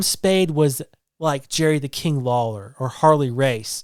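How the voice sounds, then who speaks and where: Speaking at a fairly slow pace, a man is heard on a very clean recording with a silent background. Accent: slight Southern US. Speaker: podcast co-host. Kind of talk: casual chat.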